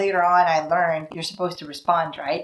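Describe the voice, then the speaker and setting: A woman with a Filipino accent, fairly low in pitch, against noticeable background noise. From Philippines. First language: Tagalog. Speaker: vlogger. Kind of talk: casual vlog talk to camera. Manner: conversational, acts out voices.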